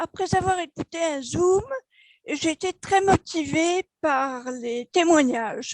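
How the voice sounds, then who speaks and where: Dry and close with no echo, a woman's extremely high voice moves at a very slow pace with lively intonation. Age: 70s. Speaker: network marketing member. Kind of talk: testimony. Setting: video call.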